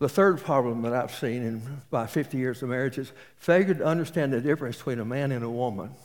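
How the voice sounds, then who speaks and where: With a Texas accent, a man speaks very fast at a medium pitch, with ordinary pitch variation and hardly any pauses. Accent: Texas Southern US. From East Texas. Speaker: pastor. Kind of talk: sermon.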